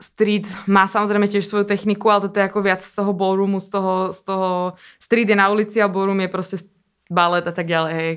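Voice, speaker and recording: Talking at a very fast pace with monotone, flat intonation, a woman swings widely in loudness over a very clean recording with a silent background. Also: medium pitch for a woman. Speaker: dancer and performer. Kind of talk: interview conversation.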